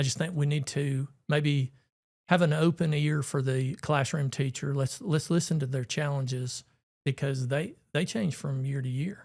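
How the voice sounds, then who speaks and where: A man with an Alabama accent speaks at a fairly slow pace in a somewhat breathy, fairly high-pitched voice with fairly even intonation, on a very clean recording with a silent background. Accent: Southern US (Alabama). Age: 60s. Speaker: retired teacher and coach, school board candidate. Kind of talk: casual chat.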